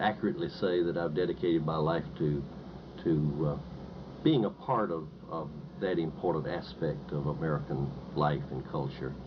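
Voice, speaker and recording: A man with a North Carolina accent speaks at a moderate pace with a very deep, low pitch and ordinary pitch variation. He leaves long, frequent pauses, and there is audible room echo. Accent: Southern US, North Carolina. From eastern North Carolina. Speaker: professor. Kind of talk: interview. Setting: recorded interview. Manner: halting, many fillers and repetitions.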